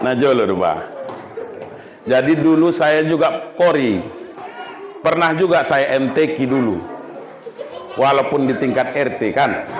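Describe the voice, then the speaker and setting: A man's fairly high voice at a fairly slow pace, with ordinary pitch variation, long, frequent pauses, very even loudness, audible room echo and noticeable background noise. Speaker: Islamic preacher. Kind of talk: sermon. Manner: animated.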